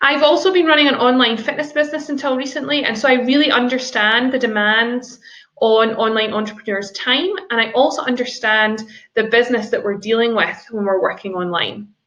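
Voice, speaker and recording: Speaking fairly quickly with a Scottish accent, a woman has a bright, sharp tone at a high pitch with ordinary pitch variation. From Scotland. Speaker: business lawyer. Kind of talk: seminar presentation. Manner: formal.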